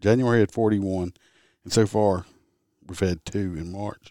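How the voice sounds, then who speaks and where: A man's very deep, low voice in a Southern US accent, dark and mellow in tone, at a fairly slow pace, dry and close with no echo, on a very clean recording against a silent background. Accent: Southern US rural. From Louisiana.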